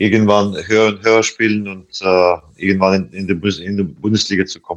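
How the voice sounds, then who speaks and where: Against a quiet background, a man talks at a moderate pace in a fairly low, monotone voice with flat intonation. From Latvia. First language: Latvian (speaking German). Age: 40s. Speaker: handball player. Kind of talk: interview. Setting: video call from hotel. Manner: halting, many hesitations.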